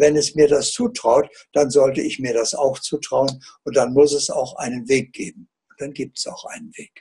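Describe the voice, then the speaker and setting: At a moderate pace, a man speaks in a fairly high, somewhat breathy voice with a dark, mellow tone. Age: 80s+. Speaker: author and alternative healer. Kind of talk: interview answer.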